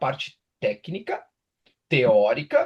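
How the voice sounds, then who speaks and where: A man is speaking. He has a strong gaúcho accent. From southern Brazil, Rio Grande do Sul (Pelotas). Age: 30s. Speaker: sports nutritionist and university professor. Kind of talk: online lecture. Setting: live online class. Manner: casual, filler-heavy.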